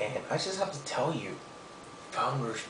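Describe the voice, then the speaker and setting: Whispering, a man is heard with audible room echo and noticeable background noise. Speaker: beer reviewer. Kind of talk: product review. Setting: home at night. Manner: hesitant, many fillers.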